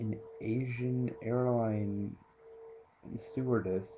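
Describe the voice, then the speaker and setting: A man speaks quietly, with audible room echo. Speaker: movie reviewer vlogger. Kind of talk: casual movie review. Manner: quiet, hushed.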